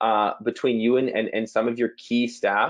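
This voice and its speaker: A man speaks against a quiet background. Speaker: business coach. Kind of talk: webinar presentation. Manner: fast.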